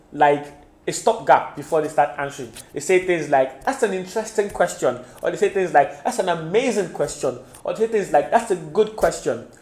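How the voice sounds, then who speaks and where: Noticeable background noise runs under a man's high-pitched voice. His pace is fairly quick and his intonation lively. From Nigeria. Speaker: IELTS tutor. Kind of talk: tutorial.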